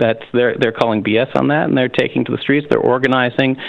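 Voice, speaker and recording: A man with a plain, everyday voice, medium pitch, fairly even intonation and an American accent. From US, Pennsylvania. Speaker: union leader. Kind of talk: interview.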